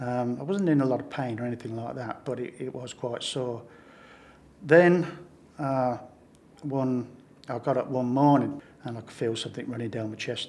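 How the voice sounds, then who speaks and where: A medium-pitched man with a northern English accent, fairly even intonation, big swings in loudness and long, frequent pauses. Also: moderate pace. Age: 70s. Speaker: pacemaker patient. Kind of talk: interview testimony. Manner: halting.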